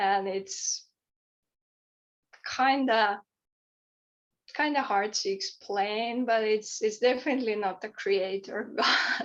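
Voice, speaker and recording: This woman speaks very slowly in a Finnish accent. Her fairly high pitch stays fairly even. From Finland. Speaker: author and poet. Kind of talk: podcast interview. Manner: halting, many repeated words.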